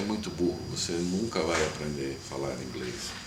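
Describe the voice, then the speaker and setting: The speech moves at a fairly slow pace with lively intonation. Noticeable background noise and audible room echo surround it. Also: man. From Brazil, São Paulo city. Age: 30s. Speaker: missionary. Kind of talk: testimony.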